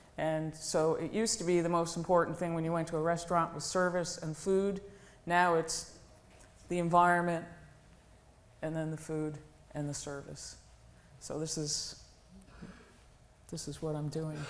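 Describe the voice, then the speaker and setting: A woman speaks at a moderate pace in a fairly low, monotone, flat voice. There is audible room echo, and she takes long, frequent pauses. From New England. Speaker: woodworking business owner. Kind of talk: conference talk.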